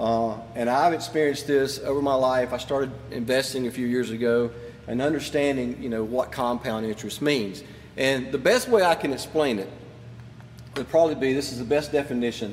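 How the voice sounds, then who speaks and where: A man speaks with fairly even intonation over background music, with audible room echo. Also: medium pitch for a man, fairly quick pace. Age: 50s. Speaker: pastor. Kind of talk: sermon. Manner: casual.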